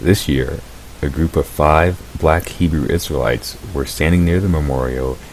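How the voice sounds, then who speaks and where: A man's very deep, low voice with ordinary pitch variation over noticeable background noise. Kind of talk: commentary video summary. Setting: low quality mic.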